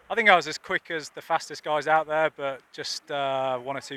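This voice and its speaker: Fairly even in intonation, a man speaks with a dry, close sound and no echo. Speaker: Olympic sailor. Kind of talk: post-race interview. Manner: hesitant, many fillers.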